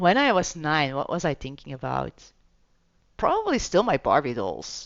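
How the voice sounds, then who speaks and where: A Flemish accent at a moderate pace. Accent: Belgian (Flemish) accent in English. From Belgium. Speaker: gaming streamer. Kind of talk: gameplay commentary with reading aloud. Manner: casual, chatty.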